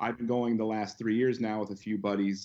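Over a quiet background, a man with a plain, everyday voice and a fairly low pitch speaks at a moderate pace. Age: 30s. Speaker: pop culture fan page and merch store owner. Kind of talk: casual chat.

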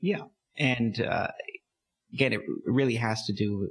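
A man with a Californian accent and a somewhat breathy voice, ordinary pitch variation, in a dry, close sound with no echo. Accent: Californian American. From California, San Diego. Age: 30s. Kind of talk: interview.

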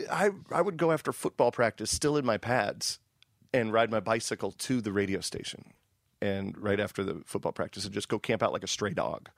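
A man with a plain, everyday voice talks at a fairly quick pace and medium pitch, with lively intonation. The recording is very clean with a silent background, and the sound is dry and close with no echo. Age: 40s. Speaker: radio host. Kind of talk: casual interview chat.

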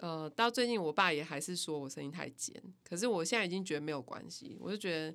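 Here is a woman with a bright, sharp tone. Her intonation is lively. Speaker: music company founder and band musician. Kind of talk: casual interview.

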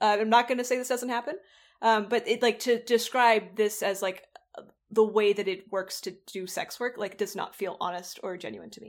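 A normal speaking voice at a moderate pace, with big swings in loudness and fairly even intonation, on a very clean recording with a silent background. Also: woman, fairly high pitch for a woman. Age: 20s. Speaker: sex worker and online personality. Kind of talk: interview conversation.

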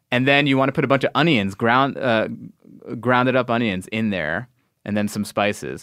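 A man with an American accent talks at a medium pitch and moderate pace with ordinary pitch variation on a very clean recording with a silent background. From New York, Long Island. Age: 40s. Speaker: comedian and actor. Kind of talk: casual chat. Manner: halting.

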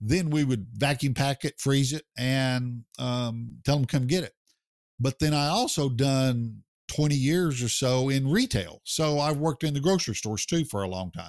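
This man has a plain, everyday voice at a medium pitch, with ordinary pitch variation. He talks at a moderate pace, and the sound is dry and close with no echo. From United States. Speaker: barbecue pitmaster and business founder. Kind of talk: casual interview.

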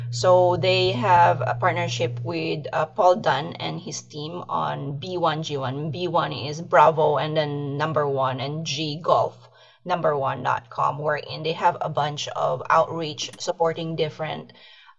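With a slight Filipino accent, the speaker talks at a very slow pace with hardly any pauses and ordinary pitch variation. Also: woman, very deep, low pitch for a woman. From Philippines. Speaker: aquaculture podcast host, accountant. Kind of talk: casual interview.

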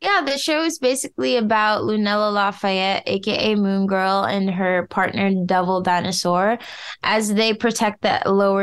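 In an American accent, a woman speaks at a medium pitch and moderate pace, with ordinary pitch variation and very even loudness, in an ordinary speaking voice. Hardly any pauses break her speech, and the background is quiet. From US Midwest. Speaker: voice actress and singer. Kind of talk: casual interview.

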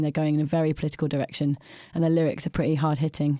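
With a British accent, a woman speaks at a very fast pace in a very deep, low pitch, her dark, mellow tone flat and monotone, on a very clean recording with a silent background. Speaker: podcast host. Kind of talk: casual chat reviewing albums.

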